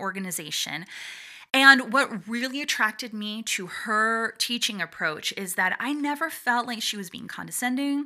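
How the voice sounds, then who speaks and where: With a normal speaking voice, a woman talks at a moderate pace and a fairly high pitch, her intonation lively, on a very clean recording with a silent background. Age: 40s. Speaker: voice and performance coach, podcast host. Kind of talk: solo podcast monologue. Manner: warm, encouraging, conversational.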